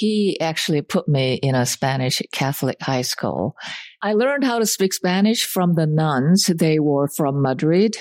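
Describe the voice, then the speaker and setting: A woman's very deep, low voice in a Korean accent, fairly slow with lively intonation, dry and close with no echo against a quiet background. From South Korea (Seoul). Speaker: college president. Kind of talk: interview. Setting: dining room of college president's home.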